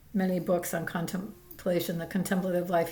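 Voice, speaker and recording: The recording has audible room echo. A woman speaks at a medium pitch. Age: 70s. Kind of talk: casual spiritual vlog talk. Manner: halting, many fillers.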